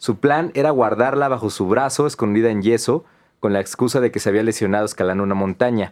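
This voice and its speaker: With a Mexican accent and lively intonation, a man speaks against a quiet background. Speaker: podcast co-host. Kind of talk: casual chat.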